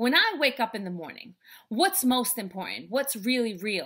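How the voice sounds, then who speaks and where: Against a quiet background, the voice swings very widely in pitch. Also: woman. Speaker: speaker, author and life coach. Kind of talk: spoken word poetry performance. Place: home room. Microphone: webcam.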